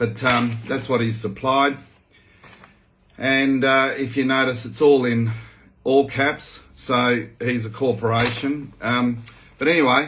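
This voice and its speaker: A man's very slow, flat, monotone delivery with an Australian accent, long and frequent pauses, and audible room echo. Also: medium pitch for a man. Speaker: farmer and activist. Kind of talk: video update, reading out a witness statement. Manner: casual, hesitant with many fillers.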